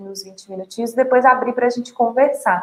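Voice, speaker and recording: A woman's high-pitched voice. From Brazil, Minas Gerais (Sete Lagoas). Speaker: journalist and emotional balance trainer. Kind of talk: online talk / webinar.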